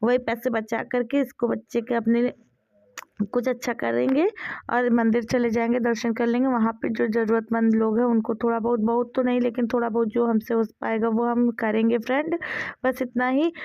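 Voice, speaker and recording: Keeping a very even loudness, a woman with a fairly high pitch talks at a fairly slow pace in a monotone, flat intonation. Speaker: family vlogger. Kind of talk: casual vlog talk.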